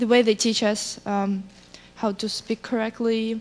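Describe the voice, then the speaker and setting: Someone with a Russian accent speaks at a moderate pace over noticeable background noise. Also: woman. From Russian-speaking country, immigrant. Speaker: student. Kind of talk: panel discussion.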